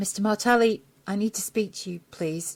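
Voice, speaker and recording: A put-on character voice, female-sounding and shrill, medium in pitch for a woman, at a moderate pace. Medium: read story.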